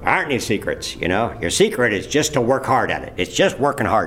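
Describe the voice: A gruff, put-on character voice from a man at medium pitch and a fairly quick pace, over clear music in the background.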